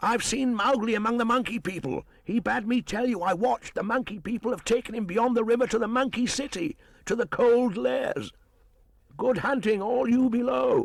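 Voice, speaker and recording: Pitching his put-on character voice extremely high, a man performs. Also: moderate pace. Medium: read story.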